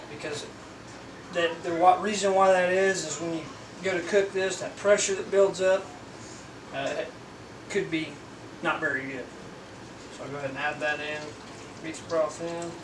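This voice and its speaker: A high-pitched man at a moderate pace, with fairly even intonation, long, frequent pauses, big swings in loudness and noticeable background noise. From Indiana, US Midwest. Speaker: homestead channel host cooking. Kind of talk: cooking tutorial. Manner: casual, folksy. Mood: relaxed, cheerful. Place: kitchen.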